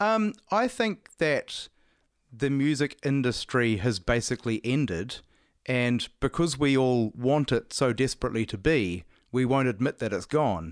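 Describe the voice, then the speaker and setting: With a New Zealand accent, a man speaks at a medium pitch and a fairly slow pace with lively intonation, in a very clean recording with a silent background and a dry, close sound with no echo. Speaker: musician, guitarist and singer. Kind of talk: casual interview conversation.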